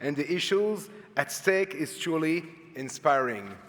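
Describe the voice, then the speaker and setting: This man speaks with a fairly high pitch and ordinary pitch variation. His pace is moderate. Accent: Quebec. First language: French. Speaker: public agency head, lawyer. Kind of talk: formal speech. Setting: conference stage with audience. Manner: reading from notes.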